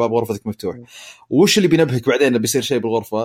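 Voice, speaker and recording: A man at a very fast pace with lively intonation. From Eastern Province, Saudi Arabia. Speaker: smart home consumer. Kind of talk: casual chat.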